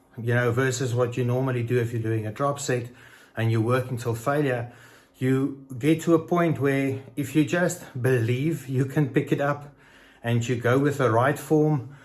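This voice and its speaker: A somewhat breathy man's voice at medium pitch, with fairly even intonation and a moderate pace. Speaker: fitness vlogger. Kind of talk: casual vlog talk. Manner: halting.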